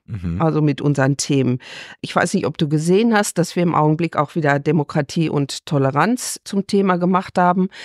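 A woman speaks at a fairly quick pace with a very deep, low pitch and ordinary pitch variation, her voice dry and close with no echo on a very clean recording against a silent background. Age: 60s. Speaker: farmer and rural women's association official. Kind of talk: interview.

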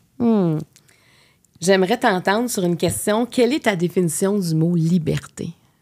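Against a quiet background, a woman with a Quebec accent speaks at a fairly slow pace with long, frequent pauses and ordinary pitch variation. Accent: Québécois French. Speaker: podcast host. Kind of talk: interview. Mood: warm, gentle. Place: studio. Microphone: studio mic.

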